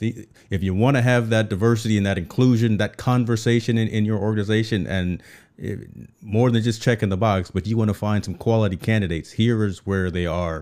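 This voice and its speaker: A man with a normal speaking voice talks at fairly low pitch and a fairly quick pace, with fairly even intonation, in a very clean recording with a silent background. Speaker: podcast host. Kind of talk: interview. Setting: live stream.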